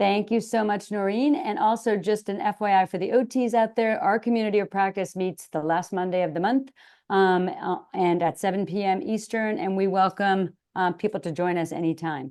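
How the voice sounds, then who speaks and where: A plain, everyday voice at a moderate pace, with ordinary pitch variation and a quiet background. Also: woman, medium pitch for a woman. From Boston area, US. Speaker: occupational therapist and webinar co-host. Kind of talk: webinar introduction.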